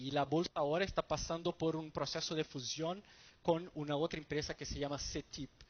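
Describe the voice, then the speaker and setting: Quick and fairly high in pitch, a man speaks with a Brazilian accent. His intonation is monotone and flat. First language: Portuguese (speaking Spanish). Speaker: stock exchange market development manager. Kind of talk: conference presentation. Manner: halting, many fillers and repetitions.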